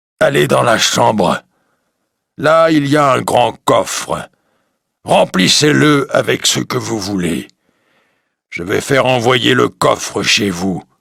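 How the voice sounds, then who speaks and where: A put-on character voice at a fairly slow pace, broken by long, frequent pauses. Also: man, medium pitch for a man. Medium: read story. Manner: solemn, commanding.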